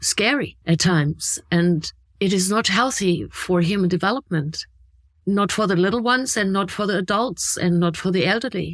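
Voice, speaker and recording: With a German accent, a woman speaks at medium pitch and a moderate pace, her pitch varying in an ordinary way. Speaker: podcast co-host. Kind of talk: casual chat.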